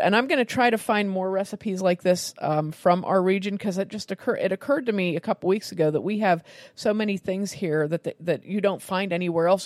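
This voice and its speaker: A woman at a medium pitch and a fairly quick pace, in a dry, close sound with no echo over a quiet background. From Western Pennsylvania (New Castle). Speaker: cooking podcast host. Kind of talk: casual recipe chat.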